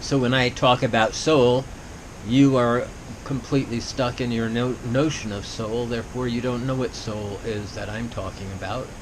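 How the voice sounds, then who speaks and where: Over noticeable background noise and audible room echo, a man with a medium pitch talks at a moderate pace with fairly even intonation. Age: 70s. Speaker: violinist and artist sharing reflections. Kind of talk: solo video monologue. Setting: home camera on tripod. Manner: discursive, repetitive.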